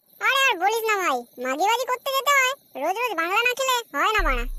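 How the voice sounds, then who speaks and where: A squeaky, cartoonish character voice at an extremely high pitch and a very fast pace. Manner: angry, foul-mouthed.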